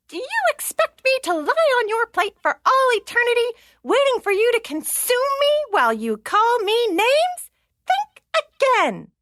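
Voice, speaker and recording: Someone uses a put-on character voice at an extremely high pitch, speaking at a moderate pace. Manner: defiant, indignant.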